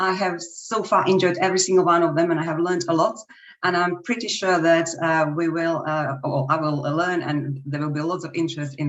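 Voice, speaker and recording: With a Slovak accent, a woman talks at a fairly quick pace in a fairly low pitch with ordinary pitch variation, and audible room echo surrounds her. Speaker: language teacher. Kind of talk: webinar presentation.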